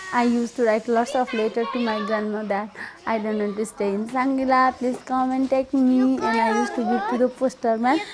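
A woman with a Nepali accent speaks fairly quickly in a high pitch. Her intonation is fairly even, and there is noticeable background noise. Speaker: nurse. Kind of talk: documentary interview.

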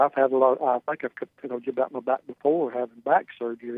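Here is a man's normal speaking voice with an American accent, medium in pitch. He moves at a fairly quick pace with fairly even intonation. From North Carolina. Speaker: caller. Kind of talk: call-in conversation. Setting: phone call.

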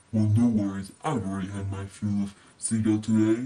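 In a put-on character voice, a woman speaks at a moderate pace with a very deep, low pitch. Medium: read story.

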